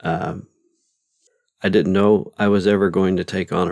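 Very deep and low, this man's voice carries. His intonation is monotone and flat. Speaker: podcast host and novelist. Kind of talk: solo podcast monologue. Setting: home studio. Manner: rambling with fillers.

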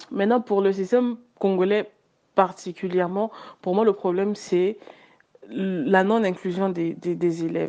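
A woman speaks at a fairly slow pace in a medium-pitched, dark, mellow tone. Her intonation is fairly even, with long, frequent pauses. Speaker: communications professional. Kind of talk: group discussion.

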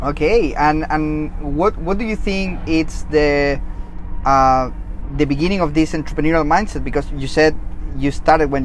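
At a moderate pace, a man with a Chilean accent speaks at a fairly high pitch with ordinary pitch variation over noticeable background noise. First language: Spanish. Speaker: podcast host. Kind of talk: casual interview. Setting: outdoors.

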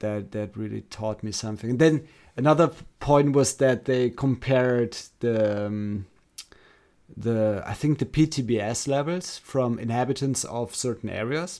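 A man speaks at a fairly slow pace in a medium pitch, his tone dark and mellow, with ordinary pitch variation. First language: German. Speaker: podcast co-host. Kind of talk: casual chat. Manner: halting.

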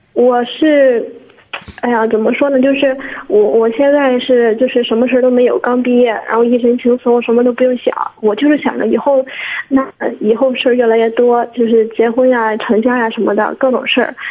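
Over noticeable background noise, a woman with a high voice speaks at a moderate pace in a flat monotone, her loudness very even. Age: 20s. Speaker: caller seeking career advice. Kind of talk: call-in advice conversation. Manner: halting, many fillers.

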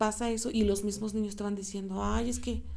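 Woman at a moderate pace, with audible room echo. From Mexico, State of Mexico. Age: 20s. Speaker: teacher and radio host. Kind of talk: casual chat.

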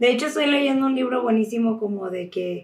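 A woman speaks with a Mexican accent at a moderate pace. Her pitch is fairly high. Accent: Mexican Spanish (Jalisco). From Guadalajara, Mexico. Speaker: podcast host. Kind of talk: casual monologue. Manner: animated.

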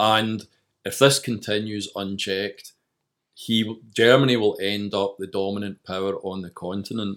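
A man with a west of Scotland accent speaks at a moderate pace with a fairly low pitch, monotone, flat intonation and big swings in loudness, in a very clean recording with a silent background. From Scotland, Greenock. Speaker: author. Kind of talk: interview.

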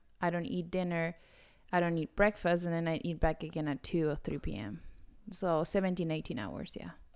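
At a fairly quick pace, a woman with a fairly low pitch speaks with ordinary pitch variation on a very clean recording with a silent background. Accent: Spanish. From Argentina. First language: Spanish. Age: 30s. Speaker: podcast co-host. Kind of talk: casual chat.

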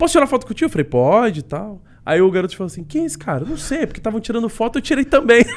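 Very fast delivery with very wide pitch swings and big swings in loudness. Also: man, high pitch for a man. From Niterói, Rio de Janeiro state, Brazil. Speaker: esports and game commentator. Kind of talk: casual chat.

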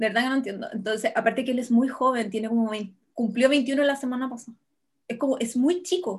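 Speaking at a fairly quick pace, a woman with a high pitch talks in a Chilean accent. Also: ordinary pitch variation. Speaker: podcast co-host. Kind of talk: casual chat.

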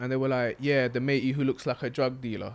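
A man's fairly high voice in a London accent at a very fast pace. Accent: London Multicultural English. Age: 20s. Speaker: podcast co-host. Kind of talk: casual chat.

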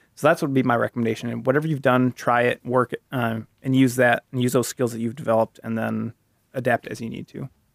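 Very fast and monotone, a man with an American accent speaks with flat intonation in a dry, close sound with no echo. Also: medium pitch for a man. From northern Iowa, US, small farm town. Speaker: medical student. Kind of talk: casual interview chat.

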